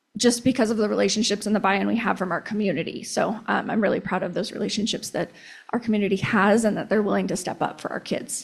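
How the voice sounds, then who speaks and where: Vocal fry runs through a woman's medium-pitched voice. She talks at a very fast pace with fairly even intonation. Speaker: school district staff presenter. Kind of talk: board meeting presentation. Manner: frequent fillers and restarts.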